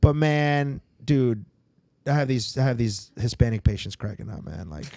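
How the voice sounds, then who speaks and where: A man speaks with a dark, mellow tone. His loudness swings widely from moment to moment. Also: medium pitch for a man, lively intonation, moderate pace. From Sarasota, Florida. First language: Spanish. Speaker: dentist. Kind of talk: casual podcast chat. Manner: casual, filler-heavy.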